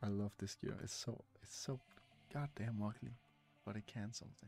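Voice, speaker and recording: With music in the background, a man talks at a moderate pace in a fairly low pitch. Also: ordinary pitch variation, dry sound with no echo. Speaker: game streamer. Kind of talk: casual talk to camera. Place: home room. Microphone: studio mic.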